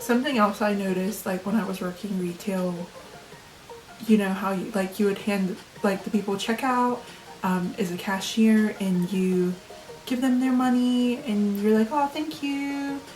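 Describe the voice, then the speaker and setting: Music plays behind a woman with an American accent. Her voice is medium in pitch, with ordinary pitch variation. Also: moderate pace. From Ohio, USA. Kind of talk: casual talk to camera.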